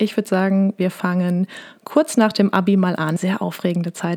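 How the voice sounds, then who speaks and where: A woman's medium-pitched voice with fairly even intonation, in a dry, close sound with no echo. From Lower Rhine / Ruhr area, Germany. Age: 20s. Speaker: podcast host and business mentor. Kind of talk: casual solo podcast monologue.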